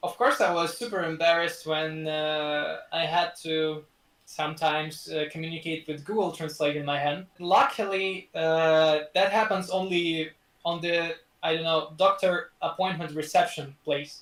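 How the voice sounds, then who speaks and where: Speaking with a Russian accent, a man uses a high pitch, fairly even intonation and a fairly slow pace. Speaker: student. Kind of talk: casual interview chat. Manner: halting, many fillers and repeats.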